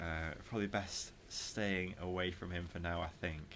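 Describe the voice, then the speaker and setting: Very deep and low in pitch, the man speaks with monotone, flat intonation. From northern England. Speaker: gaming YouTuber. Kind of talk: gameplay commentary.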